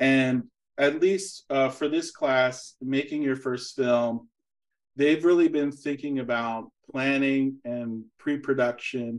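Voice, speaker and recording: A man speaks at a very slow pace with fairly even intonation. The background is quiet. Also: medium pitch for a man. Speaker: university lecturer hosting a talk series. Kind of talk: interview. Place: home room. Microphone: video call.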